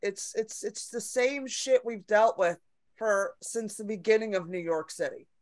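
A woman is speaking. Her pace is moderate. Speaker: comedian and personal trainer. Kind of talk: casual chat.

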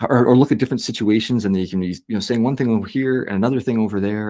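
A man with a Canadian accent, very fast pace, medium pitch, dark, mellow tone and fairly even intonation. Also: very clean recording, silent background. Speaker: podcast host. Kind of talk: casual interview conversation.

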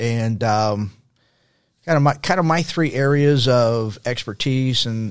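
Recorded very cleanly against a silent background, a man with an American accent and an ordinary speaking voice speaks at a medium pitch with ordinary pitch variation. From Texas, El Paso. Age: 60s. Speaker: former pastor, nonprofit founder. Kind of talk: interview conversation.

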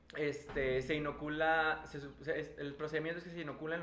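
There is audible room echo as a man with a fairly high pitch talks at a moderate pace. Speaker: microbiologist, former student of co-host. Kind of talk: casual chat. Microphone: echo in the room.

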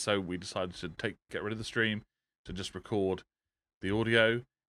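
Here a man with an English accent speaks at a moderate pace. His fairly low voice has a bright, sharp tone. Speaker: podcast host. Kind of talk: casual chat. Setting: live stream with Skype call.

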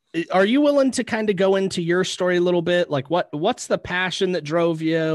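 A high-pitched male voice with lively intonation against a quiet background. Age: 20s. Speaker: podcast host. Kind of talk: casual interview chat.

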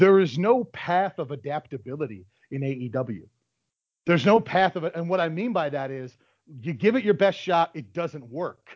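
Here is a man with a normal speaking voice, fairly high in pitch. He talks at a moderate pace with lively intonation. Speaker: wrestling podcast host. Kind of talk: casual banter about pro wrestling.

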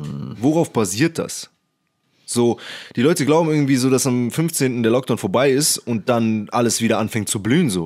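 A man with a plain, everyday voice, medium in pitch, lively in intonation, at a moderate pace. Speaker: podcast host, computer science student. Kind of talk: casual chat. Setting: podcast recording.

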